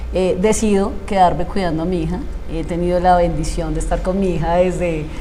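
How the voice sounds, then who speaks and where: A woman's fairly low, flat, monotone voice at a fairly quick clip, with audible room echo and noticeable background noise. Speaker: emotional coach, former radio announcer. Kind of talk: interview testimony.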